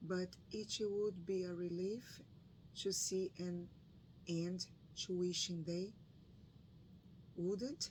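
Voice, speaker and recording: In a Brazilian Portuguese accent, a woman speaks at medium pitch with fairly even intonation. Her pace is very slow, with long, frequent pauses. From northeastern Brazil. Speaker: book reading YouTuber. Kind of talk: reading aloud; casual chat. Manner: halting.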